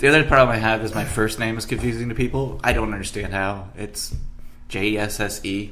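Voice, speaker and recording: A man's fairly low voice with ordinary pitch variation at a fairly quick pace, in audible room echo. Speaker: bartender and podcast host. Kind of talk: casual chat. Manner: mumbles a little sometimes.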